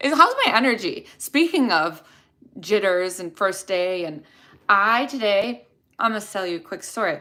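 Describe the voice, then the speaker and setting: Bright, sharp, animated delivery with a Chicago accent, lively intonation, big swings in loudness and a moderate pace on a very clean recording with a silent background. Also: woman, medium pitch for a woman. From Chicago area, US Midwest. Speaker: dental hygienist, video creator. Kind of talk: live stream Q&A, casual chat.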